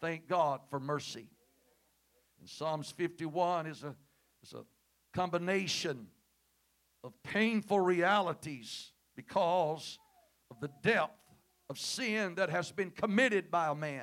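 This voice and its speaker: With a Southern US accent, a high-pitched man speaks at a very slow pace, with long, frequent pauses and big swings in loudness. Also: ordinary pitch variation. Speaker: guest preacher. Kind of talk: sermon. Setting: church. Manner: animated.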